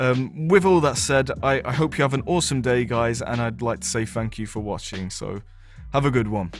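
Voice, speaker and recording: A man talks at a moderate pace and medium pitch with lively intonation. Music plays in the background. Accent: British. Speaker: gaming video presenter. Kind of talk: video outro. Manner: slurred; hesitant.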